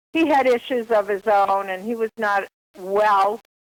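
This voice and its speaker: A woman's medium-pitched voice with a slight Boston accent, fairly slow and fairly even in intonation, in a dry, close sound with no echo. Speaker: author. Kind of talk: interview.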